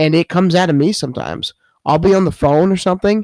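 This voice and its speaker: A man with a New York accent speaks at a fairly high pitch in a dark, mellow tone. The sound is dry and close, with no echo. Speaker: podcast host. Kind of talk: casual chat. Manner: joking, laughs often.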